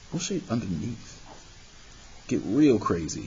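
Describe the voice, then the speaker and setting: A man talks at a fairly slow pace amid audible room echo. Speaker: math teacher. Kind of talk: tutorial.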